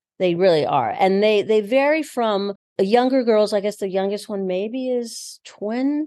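A woman with a fairly high pitch speaks at a moderate pace in an ordinary speaking voice, her intonation lively. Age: 60s. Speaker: bra-fitting boutique owner and former actor. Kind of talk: casual interview. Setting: in a boutique store.

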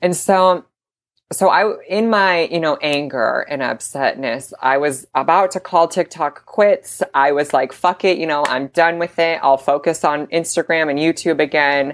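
In an ordinary speaking voice, a woman talks at a fairly slow pace and fairly low pitch with ordinary pitch variation. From Idaho, small town. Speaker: model and content creator. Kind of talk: casual interview.

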